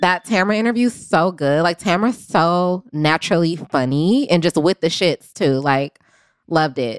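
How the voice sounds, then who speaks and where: An ordinary speaking voice belongs to a woman, fairly low in pitch, with lively intonation, a moderate pace and very even loudness. The sound is dry and close with no echo, on a very clean recording with a silent background. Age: 20s. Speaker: podcast producer. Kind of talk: casual chat.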